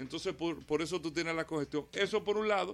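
Very fast, high-pitched male speech with ordinary rises and falls in pitch. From Dominican Republic, Santo Domingo. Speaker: mayoral candidate and automotive radio host. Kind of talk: radio interview.

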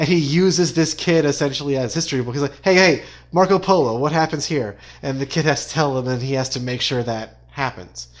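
A man's fairly high voice, a normal speaking voice, with ordinary pitch variation, a fairly quick pace and a very clean recording over a silent background. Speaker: guest and fan of the show. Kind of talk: casual podcast discussion.

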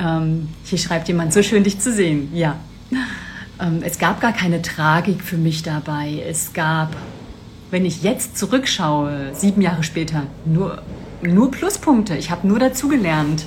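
A woman with a fairly low pitch and ordinary pitch variation speaks at a fairly slow pace, with audible room echo and noticeable background noise. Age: 40s. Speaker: business mentor. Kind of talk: live stream talk. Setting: live video stream.

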